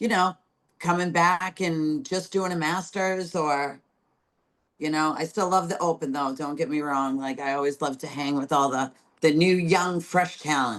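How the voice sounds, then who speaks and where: Delivered at a moderate pace, the voice has an animated tone and ordinary pitch variation. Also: woman, very deep, low pitch for a woman. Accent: strong New England. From Massachusetts, between Boston and Providence. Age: 40s. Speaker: bodybuilder. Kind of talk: casual interview.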